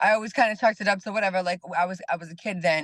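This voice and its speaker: Against a quiet background, a woman talks at a fairly quick pace in an ordinary speaking voice. Her pitch is medium, with ordinary variation. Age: 30s. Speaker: personal trainer and life coach. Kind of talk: interview.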